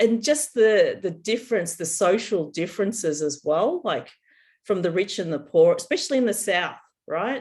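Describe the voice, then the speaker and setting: A woman speaks in an Australian accent with very wide pitch swings. The recording is very clean, with a silent background. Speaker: podcast co-host, psychic reader. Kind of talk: casual chat.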